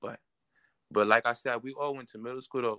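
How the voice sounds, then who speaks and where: A man's fairly even voice with a New York accent, dry and close with no echo. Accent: New York City. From Queens, New York. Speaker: rapper. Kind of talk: interview.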